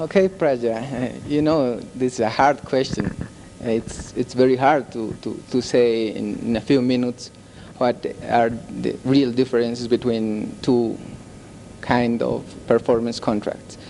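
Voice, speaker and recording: Music plays behind a man speaking in a Bolivian accent. His pitch is medium, his intonation fairly even and his pace fairly slow. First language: Spanish. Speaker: performance contract expert. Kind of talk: panel discussion. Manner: halting.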